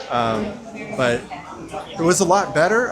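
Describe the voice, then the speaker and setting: The pace is fairly slow. Audible room echo and noticeable background noise are present. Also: man. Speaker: theme park travel vlogger. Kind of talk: casual vlog narration. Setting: walking in theme park. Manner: hesitant, many filler words.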